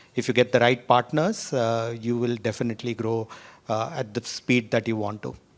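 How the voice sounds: A man at a moderate pace, medium in pitch, with fairly even intonation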